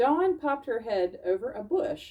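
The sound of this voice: A woman's fairly high voice with big pitch swings at a fairly slow pace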